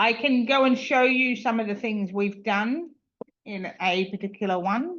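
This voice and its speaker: A woman, using an ordinary speaking voice, holds a fairly high pitch and shifts it by ordinary amounts. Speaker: user group presenter. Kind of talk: online meeting screen-share demo.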